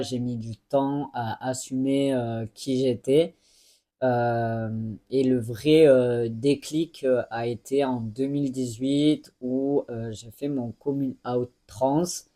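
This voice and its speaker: A dark, mellow tone moves at a very slow pace with fairly even intonation. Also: man. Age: 20s. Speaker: YouTuber. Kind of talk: personal vlog monologue. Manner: hesitant, many fillers.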